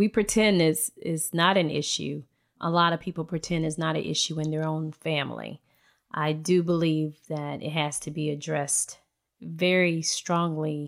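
Monotone, flat intonation moves at a moderate pace in a very clean recording with a silent background. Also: woman, very deep, low pitch for a woman. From US South, coastal Alabama. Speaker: community member. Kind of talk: casual discussion.

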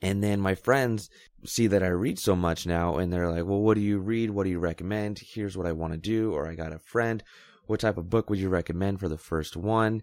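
This man has an unremarkable speaking voice, fairly low in pitch, with fairly even intonation and a fairly quick pace, recorded very cleanly against a silent background. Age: 20s. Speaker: podcast host. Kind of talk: casual monologue.

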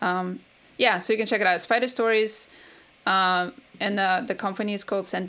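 A woman speaks at medium pitch with a Russian accent and a bright, sharp tone, her intonation fairly even and her pauses long and frequent, in a very clean recording with a silent background. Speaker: game composer. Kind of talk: interview.

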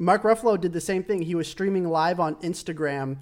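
A man with an ordinary speaking voice, fairly even intonation and a fairly quick pace, in a very clean recording with a silent background. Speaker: gaming YouTuber podcast co-host. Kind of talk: casual chat.

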